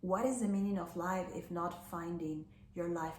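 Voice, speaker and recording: A woman with a non-native accent speaks at a fairly low pitch with fairly even intonation. Audible room echo surrounds her voice. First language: Spanish. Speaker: life coach. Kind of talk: personal talk to camera.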